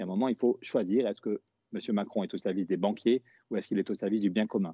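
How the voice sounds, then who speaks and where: Very fast speech comes from a man with a fairly low pitch. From Pyrenees, southwest France. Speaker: politician. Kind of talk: live stream discussion. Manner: animated.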